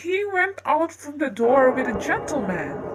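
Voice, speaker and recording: This is a put-on character voice that sounds female. The pitch sits high for a woman. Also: moderate pace. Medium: read story. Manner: deferential.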